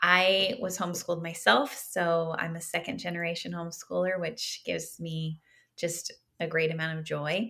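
A woman with an American accent speaks at a moderate pace in a fairly low, bright, sharp voice with ordinary pitch variation, on a very clean recording with a silent background. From Southern California. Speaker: author. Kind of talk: interview.

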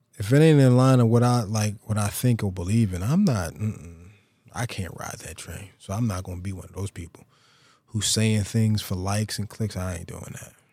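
A man with a fairly low voice and a dark, mellow tone speaks with ordinary pitch variation and big swings in loudness, in a very clean recording with a silent background. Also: moderate pace. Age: 40s. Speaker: podcast host. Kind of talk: casual solo monologue.

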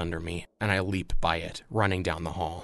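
Someone talks at a fairly slow pace in an animated, panicked tone against a quiet background. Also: man. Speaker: audio drama narrator and creator. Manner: urgent, suspenseful, building dramatic tension.

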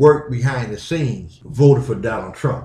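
A man talks at a moderate pace in an American accent, his pitch medium. His voice is somewhat breathy, with ordinary pitch variation. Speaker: podcast host. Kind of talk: angry opinion rant, fiery podcast monologue. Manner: blunt, outspoken, fired-up and indignant; rhetorical, confrontational, emphatic.

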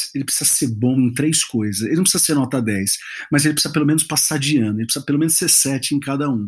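Here a man speaks with a fairly high pitch. His pitch varies in an ordinary way. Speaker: pastor and worship leader. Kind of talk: podcast interview. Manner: halting.

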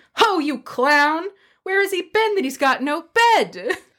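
A woman's put-on character voice, shrill and extremely high-pitched, with lively intonation at a fairly slow pace on a very clean recording with a silent background. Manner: screeching.

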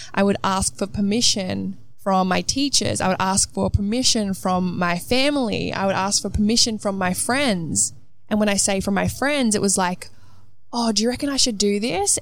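A woman speaks with an Australian accent at a moderate pace. Her loudness stays very even, with ordinary pitch variation. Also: medium pitch for a woman. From Australia, Melbourne. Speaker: motivational speaker. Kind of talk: guided meditation; solo motivational monologue. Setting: outdoors on a balcony.

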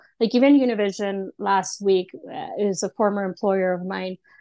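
A fairly slow pace with ordinary pitch variation, in dry, close sound with no echo and a quiet background. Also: woman. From Austin, Texas. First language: Spanish. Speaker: freelance sports reporter. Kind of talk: casual interview.

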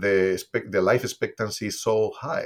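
A man with a Spanish accent speaks at a moderate pace on a very clean recording with a silent background. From Spain. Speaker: olive oil company co-founder. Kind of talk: casual interview. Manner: animated.

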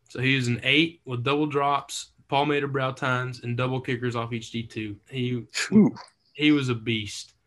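A man talks with a West Texas accent at a moderate pace. His pitch is medium and his intonation fairly even. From Texas, Lubbock. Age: 20s. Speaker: hunter. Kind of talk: casual chat.

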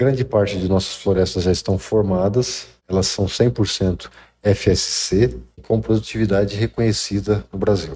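With a dark, mellow tone and vocal fry, a man speaks at a fairly low pitch and fairly slow pace, his loudness very even and his pitch varying in an ordinary way. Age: 40s. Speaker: industrial project manager. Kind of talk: interview. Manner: halting.

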